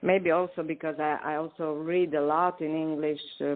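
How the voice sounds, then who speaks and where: Someone with a Romanian accent speaks at a fairly slow pace. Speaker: poet. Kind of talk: interview. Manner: halting.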